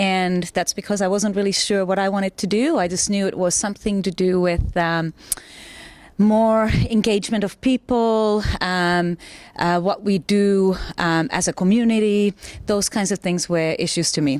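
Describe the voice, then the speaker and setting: A woman speaks with a Finnish accent. Her loudness stays very even. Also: medium pitch for a woman, fairly even intonation, moderate pace. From Finland. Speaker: mayoral candidate. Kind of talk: interview.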